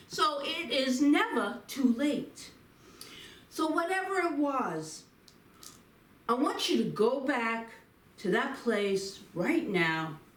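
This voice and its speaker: A woman speaks very slowly at a high pitch, swinging her pitch very widely and leaving long, frequent pauses. Audible room echo and noticeable background noise fill the recording. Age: 70s. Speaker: minister. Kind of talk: inspirational talk with guided reflection. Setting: Facebook live stream.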